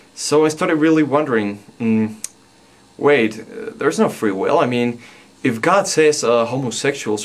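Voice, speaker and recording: A medium-pitched man speaks at a moderate pace with ordinary pitch variation, with noticeable background noise behind him. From Mexico. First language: Spanish. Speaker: video blogger. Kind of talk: personal vlog monologue. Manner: halting, many fillers.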